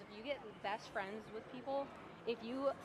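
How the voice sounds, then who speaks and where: Speaking at a fairly high pitch and a moderate pace, a woman shows ordinary pitch variation over noticeable background noise. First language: Romanian. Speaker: live streamer, mobile game player. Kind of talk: casual live stream chat.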